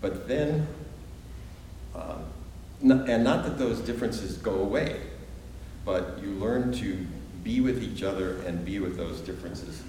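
Over noticeable background noise, a man speaks with a very deep, low pitch and very wide pitch swings. His pace is fairly slow, with long, frequent pauses. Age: 70s. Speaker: church trustee. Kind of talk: testimony. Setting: church. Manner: halting.

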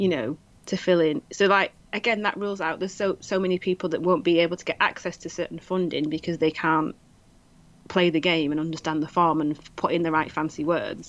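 A woman speaks with a Manchester accent at a fairly quick pace. Her pitch is fairly low and her intonation fairly even. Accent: Mancunian northern English. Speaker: podcast co-host. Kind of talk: casual chat.

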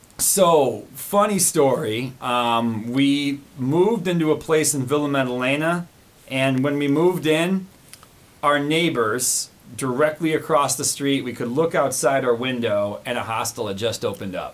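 A man with an American accent speaks at a fairly high pitch in an ordinary speaking voice. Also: ordinary pitch variation, fairly slow pace. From US. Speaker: recovering alcoholic. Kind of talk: personal testimony interview.

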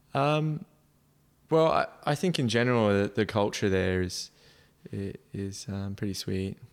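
With an Australian accent, a man with a fairly low pitch speaks at a fairly slow pace with lively intonation and long, frequent pauses. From North Queensland, Australia (Townsville). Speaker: rock climber and mechanical engineer. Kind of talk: casual interview chat.

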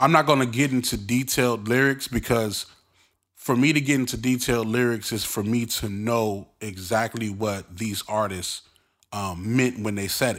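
Upbeat in tone, a man with a Brooklyn accent speaks at a medium pitch on a very clean recording with a silent background. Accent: Brooklyn New York. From Brooklyn, New York. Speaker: podcast host. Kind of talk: casual solo podcast monologue. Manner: casual, upbeat, conversational.

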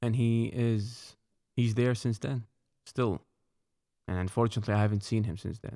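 A man's dark, mellow voice in an Iraqi accent, with fairly even intonation and long, frequent pauses, on a very clean recording with a silent background. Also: medium pitch for a man, moderate pace. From Iraq, Baghdad. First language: Arabic. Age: 30s. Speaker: Iraqi immigrant, former military interpreter. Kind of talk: casual interview.

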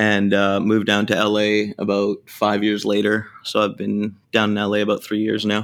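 The recording is very clean, with a silent background, as a man speaks with a slight Canadian accent. His pitch is fairly low, his intonation monotone and flat, his loudness very even. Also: moderate pace, hardly any pauses. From Canada, Vancouver. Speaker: DJ and record label owner. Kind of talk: casual interview chat.

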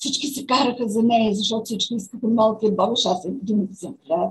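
A woman talks at a medium pitch, somewhat breathy. Her intonation stays fairly even. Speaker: journalist and writer. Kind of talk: interview. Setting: video call.

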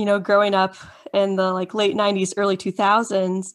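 Medium-pitched woman's voice in a very clean recording with a silent background. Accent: American. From Indiana, US Midwest. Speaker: content creator on deconstruction. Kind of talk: casual interview chat.

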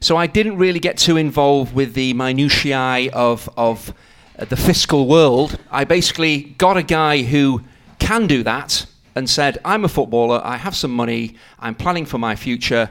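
This is an ordinary speaking voice from a man, fairly high in pitch. He keeps a moderate pace with ordinary pitch variation. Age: 50s. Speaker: former footballer and co-commentator. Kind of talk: casual chat.

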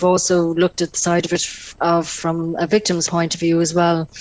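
A woman with a fairly low pitch speaks in a Tipperary accent over noticeable background noise. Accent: Irish (Tipperary). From Ireland, North Tipperary. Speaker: prison chaplain. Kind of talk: radio interview.

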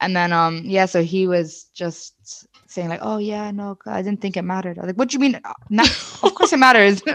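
Speaking at a moderate pace, a woman has a plain, everyday voice, a medium pitch and ordinary pitch variation. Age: 20s. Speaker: podcast co-host. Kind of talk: casual chat.

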